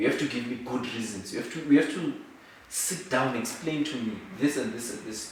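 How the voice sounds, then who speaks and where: Through audible room echo and noticeable background noise, a man speaks at a medium pitch with ordinary pitch variation. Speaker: law student and entrepreneur. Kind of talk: interview. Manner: soft-spoken; halting.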